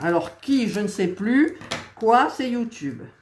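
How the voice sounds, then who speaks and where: Speaking at a very slow pace, a woman swings her pitch very widely while noticeable background noise runs underneath. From eastern France. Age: 60s. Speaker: crafts YouTuber. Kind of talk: casual chat. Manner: hesitant, many fillers.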